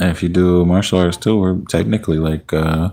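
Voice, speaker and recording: The voice has a relaxed, dark, mellow tone and moves at a moderate pace. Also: man. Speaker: livestreamer, poet. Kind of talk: casual live stream chat with viewers. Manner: relaxed, chatty.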